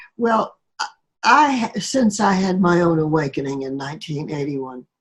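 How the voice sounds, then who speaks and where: Very wide pitch swings at a moderate pace. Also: woman, fairly low pitch for a woman. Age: 80s+. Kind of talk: interview answer.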